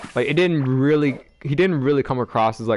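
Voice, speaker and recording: A man with lively intonation at a fairly quick pace, in a dry, close sound with no echo. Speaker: gaming streamer. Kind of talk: live gameplay stream chat. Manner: fast; hesitant, many fillers.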